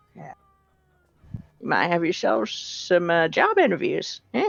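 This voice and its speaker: At a moderate pace, a female-sounding voice performs a put-on character voice. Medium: actual play. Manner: rambling, hesitant, folksy.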